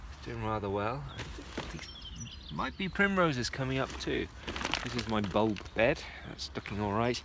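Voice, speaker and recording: Fairly slow speech from a man, noticeable background noise all around. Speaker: allotment vlogger. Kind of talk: casual vlog. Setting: outdoors.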